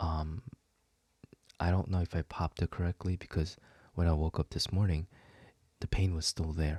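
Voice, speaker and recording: A soft-spoken man with a very deep, low, somewhat breathy voice and a dark, mellow tone, with fairly even intonation, in a dry, close sound with no echo on a very clean recording with a silent background. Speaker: video creator. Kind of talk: casual chat. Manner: halting.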